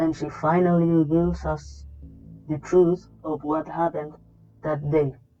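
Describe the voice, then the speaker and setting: Someone with a non-native accent speaks at a fairly slow pace in a monotone, flat intonation. Long, frequent pauses break up the speech over music in the background. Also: woman, very deep, low pitch for a woman. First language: not English. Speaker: video game reviewer. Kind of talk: video essay narration.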